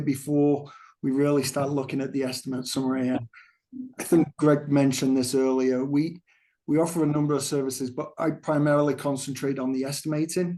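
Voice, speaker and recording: Quick-paced and fairly high-pitched, a man with an English accent speaks in a dark, mellow tone. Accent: English accent, still noticeable. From England. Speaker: construction cost estimator. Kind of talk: presentation at a town council meeting. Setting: remote, dialed in to meeting. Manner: hesitant, with fillers and repetitions.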